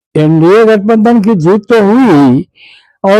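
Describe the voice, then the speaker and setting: Pitch shifts in an ordinary way. The voice belongs to a man. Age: 80s+. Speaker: politician. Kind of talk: interview.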